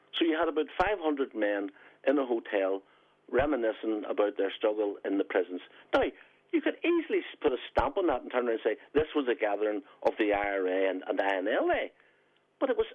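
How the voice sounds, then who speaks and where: A man talks in a Belfast accent. His pace is very fast. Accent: Belfast Northern Irish. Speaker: former republican strategist and author. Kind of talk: radio interview. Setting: phone call.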